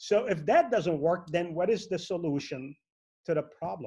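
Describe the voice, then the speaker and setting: Lively intonation marks this man's dark, mellow voice. He keeps a moderate pace. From Lebanon. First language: Arabic. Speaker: network marketing entrepreneur. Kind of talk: motivational speech. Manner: animated.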